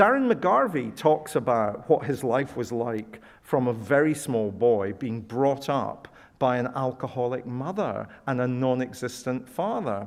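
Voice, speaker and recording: At a fairly slow pace, a man with a Scottish accent and medium pitch speaks over a quiet background. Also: ordinary pitch variation. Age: 60s. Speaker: professor. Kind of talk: Q&A after lecture.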